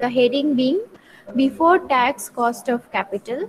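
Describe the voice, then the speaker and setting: Soft-spoken and at a very slow pace, a woman talks with a high pitch and lively intonation. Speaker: teacher. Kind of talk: lecture. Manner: slow, repetitive dictation.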